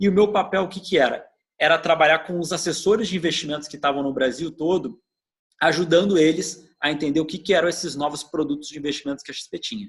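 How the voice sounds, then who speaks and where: In a southern Brazilian accent, a man speaks very fast at a fairly high pitch, with fairly even intonation and big swings in loudness. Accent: gaúcho (southern Brazilian). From southern Brazil (Rio Grande do Sul). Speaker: customer experience executive. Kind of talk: interview. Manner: hesitant, with repetitions.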